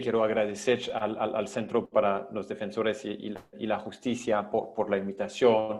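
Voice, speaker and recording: With a non-native accent, the speaker moves at a fairly slow pace with fairly even intonation. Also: man. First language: not Spanish (speaking Spanish). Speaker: international human rights advocate. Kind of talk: panel presentation. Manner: halting, many repetitions.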